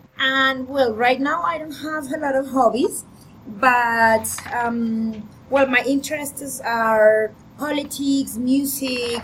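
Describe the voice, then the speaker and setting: At a very slow pace, a woman talks in a high pitch with ordinary pitch variation. Noticeable background noise can be heard. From Colombia, Bogota. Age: 30s. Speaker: English teacher. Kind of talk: online class.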